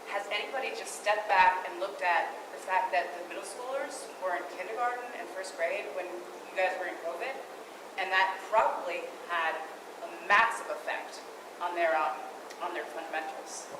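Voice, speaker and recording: A woman's voice at a moderate pace with ordinary pitch variation and big swings in loudness, amid audible room echo and noticeable background noise. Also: medium pitch for a woman. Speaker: public commenter. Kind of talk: public comment. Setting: school board meeting. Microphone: speaking without a mic.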